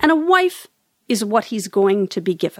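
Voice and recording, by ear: A woman speaks at a moderate pace and a medium pitch, her voice making big pitch swings.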